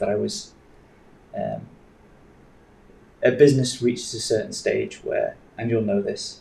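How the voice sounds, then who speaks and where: Fairly slow delivery with long, frequent pauses and audible room echo. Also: man. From northern England, Yorkshire. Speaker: bitcoin advocate, former trader. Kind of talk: interview.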